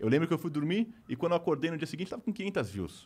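A man speaks in a somewhat breathy voice. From Brazil. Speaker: YouTuber. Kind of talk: casual chat. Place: studio. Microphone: studio mic.

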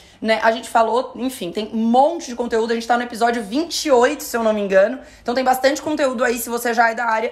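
Talking at a very fast pace, a woman speaks in an animated tone at a high pitch. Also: hardly any pauses. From Florianópolis, southern Brazil; Santa Catarina, Brazil. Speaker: podcast host and influencer-management teacher; podcast host. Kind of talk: casual chat. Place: studio.

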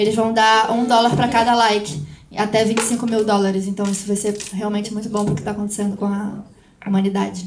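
A woman at a fairly high pitch, very fast and monotone with flat intonation, over noticeable background noise. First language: Portuguese. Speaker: interpreter and panel moderator. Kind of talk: live interpretation. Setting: stage with audience.

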